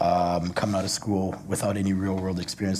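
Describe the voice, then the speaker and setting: Over noticeable background noise and audible room echo, a man speaks fairly quickly in a very deep, low pitch. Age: 30s. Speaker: entrepreneur. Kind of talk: panel discussion.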